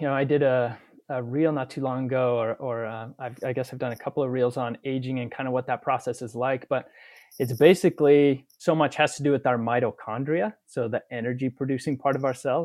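A man with an unremarkable speaking voice and an American accent, medium in pitch with ordinary variation, at a fairly quick pace. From Utah. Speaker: family physician. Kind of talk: interview.

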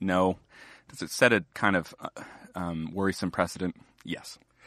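A bright, sharp tone at a moderate pace, dry and close with no echo, over a quiet background. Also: man. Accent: American. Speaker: magazine editor. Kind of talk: casual political conversation.

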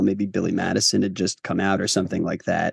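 A man with a fairly low voice speaks in a dry, close sound with no echo. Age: 30s. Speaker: writer and director. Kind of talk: interview.

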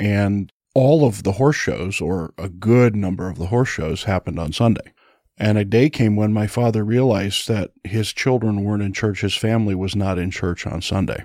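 In a very clean recording with a silent background, a man with a normal speaking voice talks at a moderate pace, his fairly low pitch showing ordinary variation. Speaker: pastor. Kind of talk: panel discussion on church and family.

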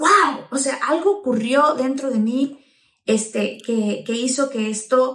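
A woman with a high pitch and lively intonation talks at a very slow pace. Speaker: podcast host and actress. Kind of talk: casual interview chat. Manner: animated.

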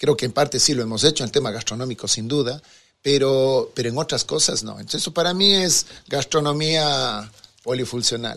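Speaking at a moderate pace, a man uses a bright, sharp tone at medium pitch with ordinary pitch variation. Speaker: chocolate entrepreneur. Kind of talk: interview. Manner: halting.

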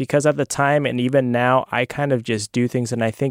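With an American accent and an ordinary speaking voice, a man talks at a fairly quick pace and medium pitch with fairly even intonation, recorded very cleanly against a silent background in a dry, close sound with no echo. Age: 20s. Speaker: former monk, food bank worker. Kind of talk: casual chat. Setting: studio.

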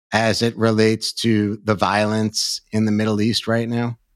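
A man with an American accent, medium pitch and monotone, flat intonation at a moderate pace, in a dry, close sound with no echo and a very clean recording with a silent background. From New York. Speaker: podcast host. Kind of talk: interview.

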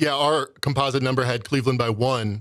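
A man with a normal speaking voice talks at a moderate pace and medium pitch with fairly even intonation. The sound is dry and close, with no echo. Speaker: sports betting stats researcher. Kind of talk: sports betting analysis chat.

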